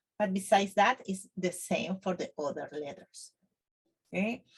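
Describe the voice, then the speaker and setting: A woman with a medium-pitched, somewhat breathy voice speaks with ordinary pitch variation. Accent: Spanish. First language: Spanish. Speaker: Spanish teacher. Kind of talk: tutorial. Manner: halting, with fillers.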